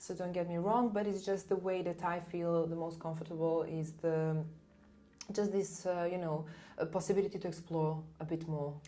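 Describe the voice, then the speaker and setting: A woman with a fairly low pitch talks at a moderate pace in a flat monotone. The room echo is audible. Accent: non-native. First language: not English. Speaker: soprano singer. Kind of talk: casual interview chat.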